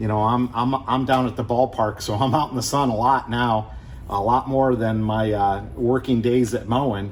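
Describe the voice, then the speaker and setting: Medium-pitched male voice with a Midwestern American accent, fairly even intonation, a moderate pace and audible room echo. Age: 60s. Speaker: car restoration youtuber, retired engineer. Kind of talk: casual chat; tutorial. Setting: garage. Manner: casual, halting with many fillers.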